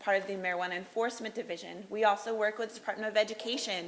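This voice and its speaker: Noticeable background noise sits behind this woman. Her pitch is fairly high. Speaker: public health official. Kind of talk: presentation. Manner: loud; fast.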